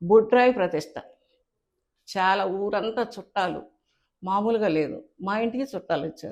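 This woman has a plain, everyday voice at a medium pitch. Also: ordinary pitch variation. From Andhra Pradesh, Guntur district. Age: 60s. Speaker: writer and cartoonist. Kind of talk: interview, life story.

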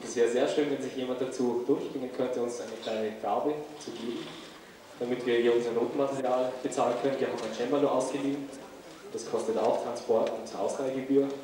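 Fairly quick speech with monotone, flat intonation comes through strong room echo and noticeable background noise. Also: man. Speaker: concert host. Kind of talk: announcement to audience. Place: hall.

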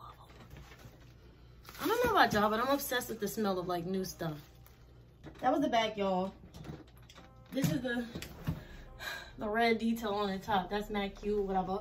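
A woman speaks at a fairly high pitch with big swings in loudness and long, frequent pauses. Noticeable background noise runs behind her. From New Jersey. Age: 20s. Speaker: vlogger. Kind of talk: casual storytime vlog to camera. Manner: upbeat, chatty. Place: home room.

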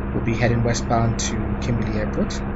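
Loud background noise sits beneath a man's speech. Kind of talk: flight briefing commentary. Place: plane. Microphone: headset.

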